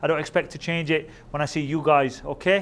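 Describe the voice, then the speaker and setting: Energetic in tone, a man with an American accent talks at a fairly quick pace with ordinary pitch variation. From England. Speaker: Sikh youth speaker. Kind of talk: interactive talk to youth camp. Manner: casual, energetic.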